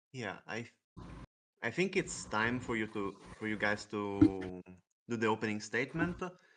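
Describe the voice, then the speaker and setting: Here a man with an Italian accent talks at a moderate pace with fairly low pitch. His pitch variation is ordinary, and he takes long, frequent pauses. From Italy. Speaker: debate moderator. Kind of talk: moderating.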